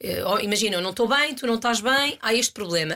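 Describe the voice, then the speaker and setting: A woman talks with a bright, sharp tone at a fairly high pitch. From Portugal, Aveiro. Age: 30s. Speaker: actress. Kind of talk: interview.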